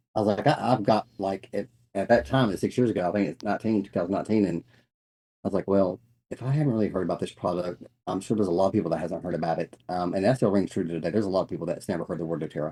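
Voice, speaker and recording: Speaking at a very fast pace, a man with a Southern US accent has a very deep, low pitch, a dark, mellow tone and ordinary pitch variation. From North Carolina. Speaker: network marketing business owner. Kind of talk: casual interview.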